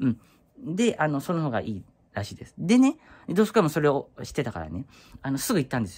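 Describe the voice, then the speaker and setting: Against a quiet background, a man talks at a very fast pace with a fairly high pitch and vocal fry. His pitch swings very widely and his loudness rises and falls sharply. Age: 30s. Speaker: YouTuber; vlogger. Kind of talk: casual vlog monologue. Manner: halting, many fillers. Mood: concerned but chatty. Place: home room. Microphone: phone near.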